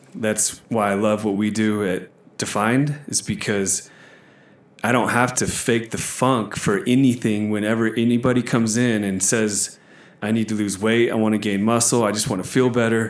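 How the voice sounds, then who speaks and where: A man's fairly low voice in a monotone, flat intonation at a moderate pace. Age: 30s. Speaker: gym manager. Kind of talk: casual chat.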